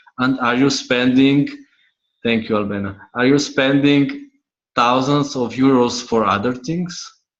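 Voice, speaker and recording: Using fairly even intonation, a man with a non-native accent talks at a fairly slow pace and a medium pitch. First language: not English. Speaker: money coach. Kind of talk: online class teaching. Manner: halting, words clipped.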